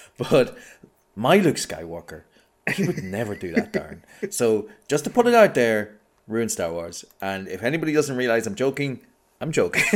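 With an Irish accent, a man at medium pitch speaks in very wide pitch swings with long, frequent pauses, on a very clean recording with a silent background. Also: moderate pace. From Ireland. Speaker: podcast guest. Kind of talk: casual film discussion podcast.

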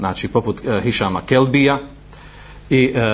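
A man's speech comes at a fairly quick pace, with ordinary pitch variation and noticeable background noise behind it. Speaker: Islamic preacher. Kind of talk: lecture. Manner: halting, frequent fillers.

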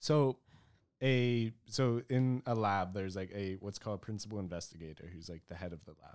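A man with an ordinary speaking voice and an American accent speaks at a fairly quick pace in a fairly low pitch, with ordinary pitch variation and big swings in loudness. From rural Pennsylvania. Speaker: former lab researcher. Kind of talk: casual chat.

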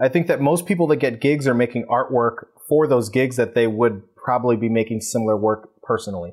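Man with an American accent and an unremarkable speaking voice, medium pitch with ordinary pitch variation, a fairly quick pace, hardly any pauses and very even loudness. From New York, Queens. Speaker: photographer and publisher. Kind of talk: interview.

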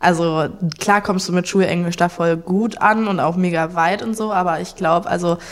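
A woman speaks at a fairly low pitch. Her intonation stays monotone and flat. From Saxony, Germany (Leipzig). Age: 20s. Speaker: backpacker. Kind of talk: casual chat.

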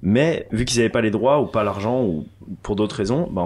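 Speaking very fast with a French accent, a man uses ordinary pitch variation. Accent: French from France. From France, Annecy. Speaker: DJ. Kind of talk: casual chat. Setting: living room.

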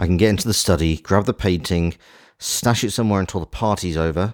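A man talks at a fairly quick pace with a playful tone. The sound is dry and close, with no echo. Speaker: charming master thief, audio drama character. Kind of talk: scripted audio drama performance. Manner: playful, suave, breezy, teasing.

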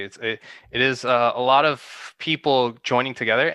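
Bright and sharp in tone, a man's voice comes through. The sound is dry and close with no echo, over a quiet background. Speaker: guest on stock trading. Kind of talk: casual chat. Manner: animated.

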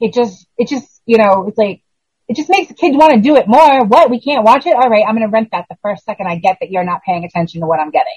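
A woman with a somewhat breathy, fairly high voice talks at a very fast pace with very wide pitch swings, in a dry, close sound with no echo. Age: 40s. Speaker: horror podcast co-host. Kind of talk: casual chat.

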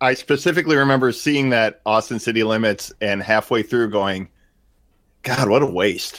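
In a very clean recording with a silent background, a man with a normal speaking voice talks at a medium pitch and moderate pace, with ordinary pitch variation and very even loudness. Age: 40s. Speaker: artist and podcaster. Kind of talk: casual chat.

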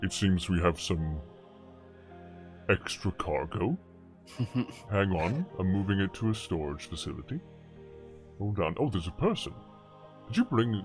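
A man speaks in a put-on character voice. Clear music plays in the background. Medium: actual play. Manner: brisk, casual, clerk-like.

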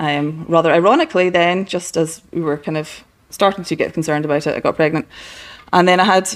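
A woman speaks at a moderate pace with a Scottish accent. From Scotland, west coast. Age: 40s. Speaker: interior designer. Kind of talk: casual chat. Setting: at her home.

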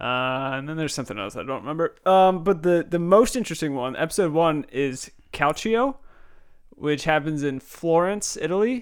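In a normal speaking voice, a man talks at a moderate pace with a fairly high pitch. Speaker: podcast host. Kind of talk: casual chat.

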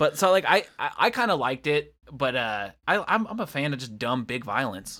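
A man with a fairly high pitch and very wide pitch swings speaks in an animated, bright, sharp tone at a moderate pace with hardly any pauses, in a very clean recording with a silent background. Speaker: podcast co-host. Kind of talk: casual banter about wrestling. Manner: animated, profane.

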